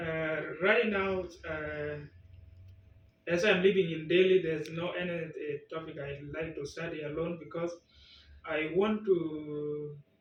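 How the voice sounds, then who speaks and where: A man's fairly high voice at a fairly slow pace, with long, frequent pauses, big swings in loudness, and audible room echo. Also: fairly even intonation. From South Sudan. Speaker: language test candidate. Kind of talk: speaking exam interview. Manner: halting.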